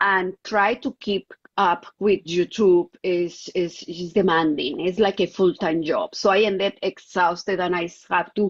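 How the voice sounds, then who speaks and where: In a Colombian accent, a woman at a medium pitch talks at a fairly slow pace with fairly even intonation and hardly any pauses. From Colombia, Bogotá. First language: Spanish. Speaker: contactee, clairvoyant. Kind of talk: interview testimony. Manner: halting, searching for English words.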